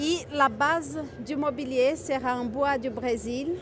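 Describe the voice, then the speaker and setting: A woman with a slight Brazilian accent speaks in a high voice, her pitch rising and falling in an ordinary way. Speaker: natural materials distributor. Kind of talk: product presentation.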